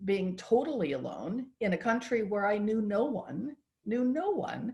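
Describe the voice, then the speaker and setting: In an American accent, a woman talks at a fairly slow pace and a medium pitch, her tone dark and mellow and somewhat breathy. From United States. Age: 70s. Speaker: patient advocate. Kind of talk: interview conversation.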